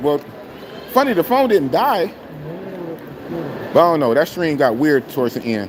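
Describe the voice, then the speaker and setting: A man speaks at a fairly high pitch with very wide swings, keeping a moderate pace. His delivery has long, frequent pauses over noticeable background noise. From Oakland, California, US. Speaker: live streamer. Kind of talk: casual live stream chat.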